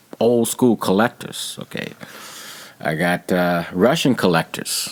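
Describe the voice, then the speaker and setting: With an American accent and a very deep, low pitch, a man talks at a fairly slow pace with ordinary pitch variation amid noticeable background noise. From Texas. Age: 60s. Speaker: painter. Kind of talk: interview.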